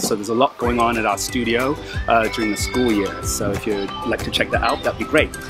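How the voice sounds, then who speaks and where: Dry sound with no echo from a man, clear music in the background. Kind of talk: promotional address to parents. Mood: friendly, upbeat. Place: open country.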